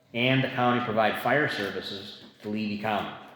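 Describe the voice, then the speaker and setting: A man is speaking. Room echo can be heard. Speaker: community advisory board member. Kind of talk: public meeting discussion. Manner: soft-spoken.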